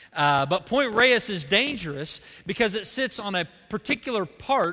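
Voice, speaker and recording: A man with an Oklahoma accent in a raised, projected voice, a bright, sharp tone and very wide pitch swings, over a quiet background. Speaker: pastor. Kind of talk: sermon. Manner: halting.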